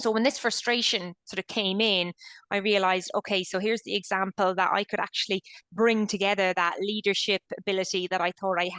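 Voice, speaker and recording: With an Irish accent, a woman talks at a fairly quick pace in a medium pitch, her tone bright and sharp, her intonation fairly even, and the sound dry and close with no echo. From Ireland. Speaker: company founder and CEO. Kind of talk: interview.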